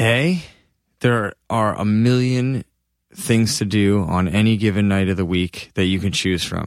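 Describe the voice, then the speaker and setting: A man's ordinary speaking voice, fairly low-pitched with ordinary pitch variation and a fairly slow pace, in a very clean recording with a silent background. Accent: American. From Massachusetts. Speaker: touring rock band musician. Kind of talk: casual chat.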